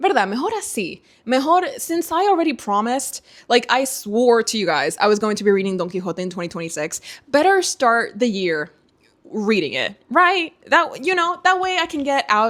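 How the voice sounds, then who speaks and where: Speaking with a Spanish accent, a woman talks at a moderate pace in an animated tone, her high pitch making very wide swings. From Dominican Republic. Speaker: book youtuber. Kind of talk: casual vlog chat.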